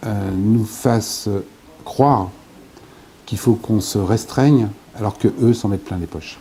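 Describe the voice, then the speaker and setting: A man's fairly low voice at a fairly slow pace, with ordinary pitch variation and long, frequent pauses. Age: 60s. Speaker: author and former local politician. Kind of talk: interview. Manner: hesitant, many filler sounds.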